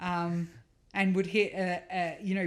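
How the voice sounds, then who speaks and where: A woman with a fairly low voice speaks in an Australian accent with flat, monotone intonation. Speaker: rally co-driver. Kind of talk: casual interview chat.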